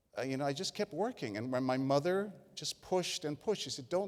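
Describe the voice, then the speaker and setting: An animated man's voice with a Spanish accent. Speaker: keynote speaker, broadcaster. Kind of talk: keynote speech. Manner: animated storytelling.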